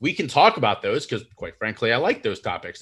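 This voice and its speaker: A man with an American accent. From United States. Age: 30s. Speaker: mental health speaker and podcaster. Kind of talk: casual interview conversation.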